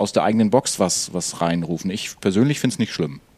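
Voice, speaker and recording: Here a man talks at a moderate pace. His voice is fairly low in pitch, with a dark, mellow tone. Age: 30s. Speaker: podcast co-host. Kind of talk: casual chat.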